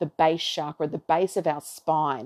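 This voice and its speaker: Against a quiet background, a dark, mellow tone comes through dry and close with no echo. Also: woman. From Australia. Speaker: astrology podcaster. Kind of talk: solo monologue on astrology. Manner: rambling, casual.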